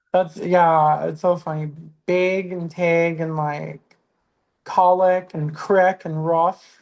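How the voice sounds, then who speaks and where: A woman with an American accent speaks at a very slow pace and a fairly low pitch. Her intonation is monotone and flat. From southeast Texas. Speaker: stand-up comedian. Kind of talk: casual chat.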